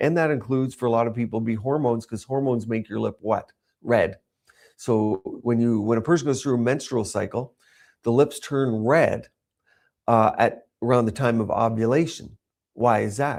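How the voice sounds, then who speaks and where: A man's unremarkable speaking voice with fairly even intonation at a moderate pace, on a very clean recording with a silent background. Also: medium pitch for a man. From Canada. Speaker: cosmetic doctor. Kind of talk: live-streamed presentation. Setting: livestream.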